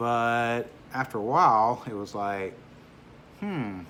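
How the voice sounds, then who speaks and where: A man speaks with ordinary pitch variation. There is audible echo from the room. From US South, Louisiana (Baton Rouge). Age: 60s. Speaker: YouTuber, rideshare driver. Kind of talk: casual vlog monologue. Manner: hesitant, many fillers.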